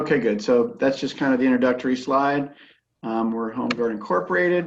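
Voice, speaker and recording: A man's medium-pitched voice with ordinary pitch variation and a fairly quick pace. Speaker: home inspection company account manager. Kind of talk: sales presentation. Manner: fast.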